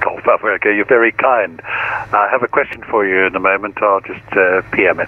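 A man's fairly low voice, calm in tone, with fairly even intonation, a moderate pace, hardly any pauses and noticeable background noise. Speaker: virtual air traffic controller. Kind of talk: radio dispatch, air traffic control phraseology. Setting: online flight simulation network radio. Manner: formal, clipped, procedural, calm; helpful, explanatory when correcting.

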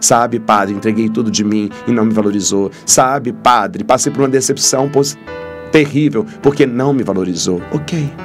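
Clear music can be heard in the background. Over it, a man talks at a moderate pace. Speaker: priest. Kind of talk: sermon-style reflection. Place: studio. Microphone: studio mic.

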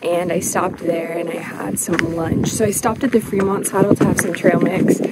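A woman talks in an American accent with ordinary pitch variation. The sound is dry with no echo, and there is loud background noise. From Arizona, US. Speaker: travel vlogger. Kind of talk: on-location vlog. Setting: outdoors. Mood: cheerful, relaxed. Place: open country. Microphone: phone near.

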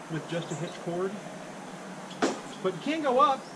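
A man talking at a moderate pace amid loud background noise. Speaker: tree climbing instructor. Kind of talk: tutorial. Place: garden. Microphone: camera far.

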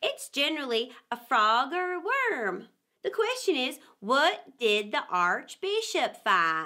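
A woman puts on a character voice, high-pitched with a bright, sharp tone. She speaks at a slow pace, her pitch swinging widely.

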